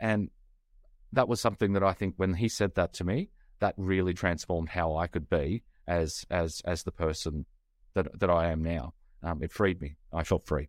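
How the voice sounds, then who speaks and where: A man with an Australian accent talks at a moderate pace in a very deep, low pitch. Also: ordinary pitch variation, dry, close sound with no echo. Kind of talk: casual interview conversation.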